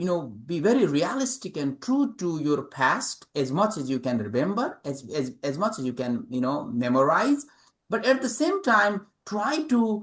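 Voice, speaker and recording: A man speaks at a fairly slow pace. His pitch swings very widely. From Nepal. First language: Nepali. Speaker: author and English professor. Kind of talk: interview. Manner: halting, many fillers.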